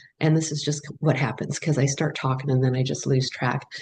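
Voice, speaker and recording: Speaking at a fairly quick pace, a woman uses a very deep, low pitch, a somewhat breathy quality and monotone, flat intonation. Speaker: bereaved parent and addiction awareness advocate. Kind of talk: panel webinar remarks. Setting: video call webinar.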